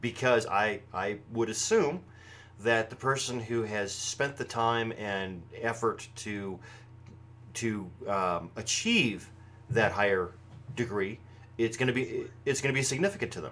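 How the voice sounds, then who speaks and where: Speaking in an American accent at a fairly slow pace, a man holds a medium pitch with ordinary pitch variation. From United States. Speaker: pagan broadcast host. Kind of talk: live show commentary. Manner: projected voice; halting, many fillers and restarts.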